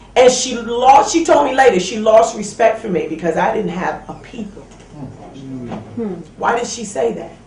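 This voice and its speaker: Over noticeable background noise, the speech comes at a moderate pace with an American accent. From Brooklyn, New York. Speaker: military veteran. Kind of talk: testimony.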